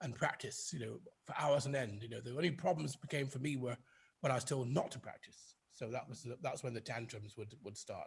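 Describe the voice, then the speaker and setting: Speaking fairly quickly in a British RP accent, a man uses a medium pitch with ordinary pitch variation and vocal fry. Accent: British RP-leaning English. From northern England, Oldham near Manchester. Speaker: conductor and organist. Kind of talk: interview. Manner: halting, many fillers and repeats.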